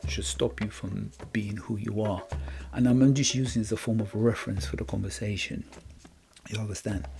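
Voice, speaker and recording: Music plays behind a man talking at a fairly quick pace. His fairly low voice swings very widely in pitch. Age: young. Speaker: podcast host. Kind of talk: motivational monologue. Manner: halting.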